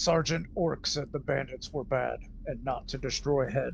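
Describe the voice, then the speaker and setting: In a raspy, put-on character voice, a man speaks at medium pitch and a moderate pace over clear background noise. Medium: actual play. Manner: halting, broken phrasing.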